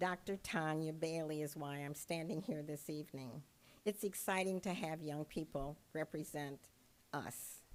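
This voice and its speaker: A woman speaks with an American accent and a very deep, low pitch. Her pitch varies in an ordinary way. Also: moderate pace. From Michigan, Flint. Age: 80s+. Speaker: public commenter. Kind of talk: public comment speech. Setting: county board meeting. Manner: halting.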